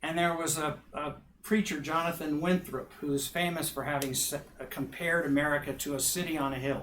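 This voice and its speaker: Someone speaks at a moderate pace in a plain, everyday voice with fairly even intonation. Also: man. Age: 60s. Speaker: minister and professor. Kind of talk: public talk Q&A.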